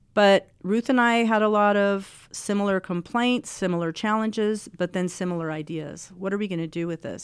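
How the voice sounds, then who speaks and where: A woman with a plain, everyday voice speaks at a moderate pace with ordinary pitch variation on a very clean recording with a silent background. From Mexico and Texas. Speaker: wildlife research scientist. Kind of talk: interview conversation.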